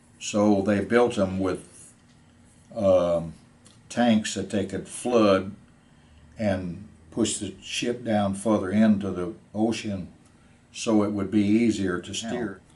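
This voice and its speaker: In a room with audible echo, a man with a fairly low pitch and a dark, mellow tone speaks at a very slow pace in a monotone, flat way, with long, frequent pauses. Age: 80s+. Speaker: war veteran. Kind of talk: testimony. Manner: halting.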